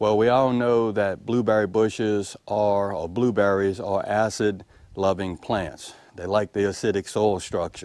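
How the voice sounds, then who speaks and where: With a Mississippi accent, a man speaks fairly slowly at a fairly low pitch, barely pausing. His intonation is fairly even. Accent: Southern US, rural Mississippi. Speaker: homesteader. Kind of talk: casual how-to talk to camera. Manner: folksy, friendly.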